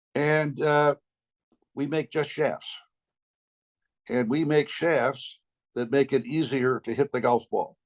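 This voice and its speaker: A man with an American accent at a fairly high pitch, very slow in pace with ordinary pitch variation, a dry, close sound with no echo and a quiet background. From upstate New York. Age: 80s+. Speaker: golf entrepreneur. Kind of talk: interview.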